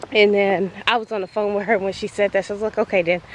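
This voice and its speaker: Her pace is fairly quick as a woman talks. Behind her, noticeable background noise persists. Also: dry sound with no echo. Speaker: vlogger. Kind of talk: casual vlog chat. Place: open country. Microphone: phone near.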